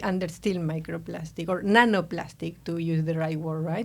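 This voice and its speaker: A woman's voice with an Argentine accent and ordinary pitch variation. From Argentina. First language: Spanish. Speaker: nanotechnology researcher. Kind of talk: podcast interview.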